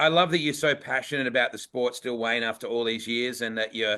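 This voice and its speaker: A man with an Australian accent speaks at a medium pitch. His pace is fairly quick and his intonation fairly even. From Western Australia. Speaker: racing show host. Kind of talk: casual chat. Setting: livestream.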